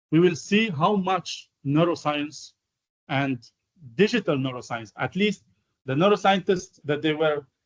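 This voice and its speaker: A man speaks in a high voice with an Arabic accent. His intonation is lively. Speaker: AI researcher, guest lecturer. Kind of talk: lecture. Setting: university lecture hall. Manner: halting, many fillers.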